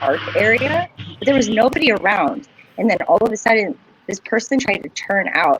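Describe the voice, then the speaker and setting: Loud speech at a moderate pace over noticeable background noise. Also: woman. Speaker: podcast co-host. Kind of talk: casual chat.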